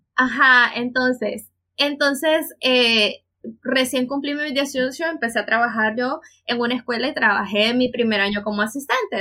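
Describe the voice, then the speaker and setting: Speaking at a fairly slow pace, a woman has a fairly high pitch, ordinary pitch variation and a bright, sharp tone. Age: 20s. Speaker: podcast co-host, psychologist and teacher. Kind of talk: casual chat.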